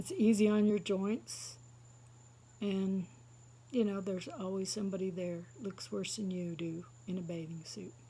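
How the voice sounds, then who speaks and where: The woman's voice has a somewhat breathy quality. She keeps to a moderate pace. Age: 60s. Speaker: stand-up comedian. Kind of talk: stand-up. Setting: seated, live audience.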